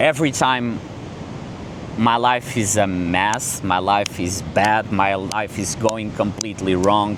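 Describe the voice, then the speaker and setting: With a non-native accent, a man with a fairly low voice speaks in a fairly even tone, with audible room echo and noticeable background noise. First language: not English. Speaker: content creator. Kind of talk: casual vlog talk to camera. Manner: halting, with fillers and restarts; calm, relaxed.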